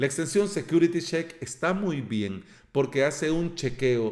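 With ordinary pitch variation, a man talks at a moderate speed. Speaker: podcast host. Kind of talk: tutorial. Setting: office near street.

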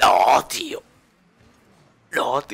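Shouting in a raspy, put-on character voice, a man performs. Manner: frustrated, shouting.

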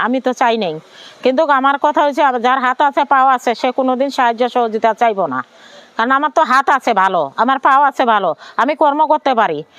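A woman with a high voice speaks at a very even loudness and ordinary pitch variation, recorded dry and close with no echo. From Bangladesh, Noakhali (Sonaimuri). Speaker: widow, former migrant domestic worker. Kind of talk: personal testimony interview.

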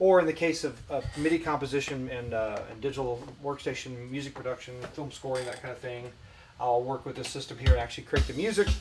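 With faint music in the background, a man talks at a very fast pace, showing ordinary pitch variation and big swings in loudness. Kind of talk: casual tour explanation. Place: studio.

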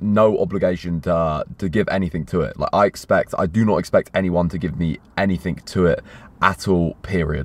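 A man's very deep, low voice at a fairly quick pace, with ordinary pitch variation and a dry sound with no echo. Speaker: fitness vlogger. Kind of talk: casual vlog chat. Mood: uneasy, reluctant, sincere. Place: car. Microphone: phone near.

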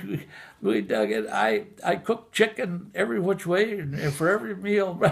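Against a quiet background, a man talks at a moderate pace with a high pitch and very wide pitch swings. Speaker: WWII Navy veteran. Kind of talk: interview answer. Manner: storytelling, casual. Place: home room. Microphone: phone near.

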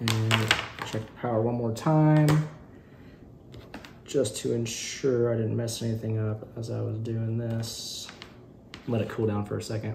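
With vocal fry and a slightly mellow tone, the speech moves at a fairly slow pace with long, frequent pauses, little pitch movement and faint background noise. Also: man, medium pitch for a man.

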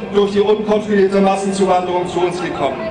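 Loud background noise under a man's voice. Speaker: speaker. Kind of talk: political rally speech. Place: stage. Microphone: podium.

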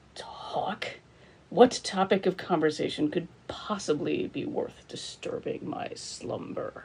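A put-on character voice growls, raspy throughout. The pace is fairly slow. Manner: cool, haughty, snarling.

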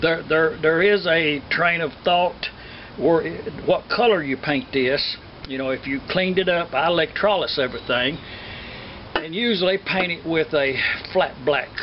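A man with a high pitch talks at a moderate pace against noticeable background noise. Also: ordinary pitch variation. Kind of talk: tutorial. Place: garden.

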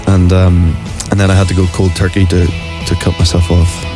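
Clear music plays behind a man with a very deep, low voice. The sound is dry, with no echo. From Ireland. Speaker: actor. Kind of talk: radio interview, playful game answers. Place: studio. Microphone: studio mic.

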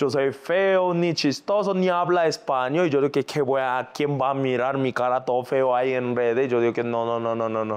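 With hardly any pauses, a man in a Korean accent talks in an animated tone with ordinary pitch variation. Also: medium pitch for a man, moderate pace. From South Korea. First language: Korean (speaking Spanish). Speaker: singer and influencer; influencer. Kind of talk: casual interview. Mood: lively storytelling, laughing. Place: studio.

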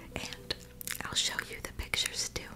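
She speaks in a whisper. The speaker is a woman. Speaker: ASMR creator. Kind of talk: soft casual bedtime chat and storybook reading. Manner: soft, hushed bedtime ASMR voice. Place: home room. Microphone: phone near.

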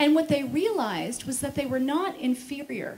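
In an American accent, a woman with a high pitch speaks at a fairly slow pace. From United States. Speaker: speaker on veganism; speaker. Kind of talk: conference talk. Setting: stage with audience. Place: stage. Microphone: handheld.

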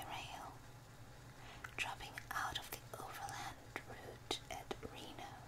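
The whispering moves at a very slow pace. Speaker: ASMR reader. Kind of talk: binaural ASMR audiobook reading. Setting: binaural recording with page turning. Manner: whispered. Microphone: studio mic.

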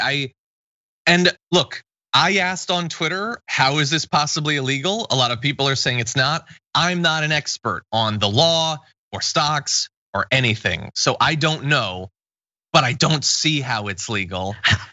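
A man with an ordinary speaking voice, fairly high in pitch, at a moderate pace. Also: lively intonation. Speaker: political news show host. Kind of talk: political news commentary.

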